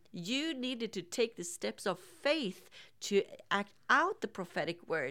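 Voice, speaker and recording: An unremarkable speaking voice at a fairly slow pace, on a very clean recording with a silent background. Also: woman. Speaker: podcast co-host. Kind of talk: interview.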